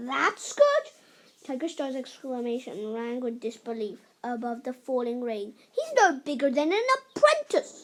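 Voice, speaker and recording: Doing a growling, put-on character voice at a high pitch, a woman speaks at a moderate pace with ordinary pitch variation and big swings in loudness. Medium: read story. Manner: growling, haughty.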